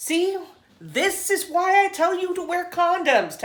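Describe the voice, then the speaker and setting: A woman's put-on character voice, squeaky and extremely high-pitched, at a fairly slow pace with fairly even intonation. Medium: read story. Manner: blunt, bossy.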